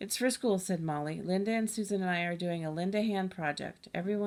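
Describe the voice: The pitch moves in an ordinary way. What we hear is plain reading aloud.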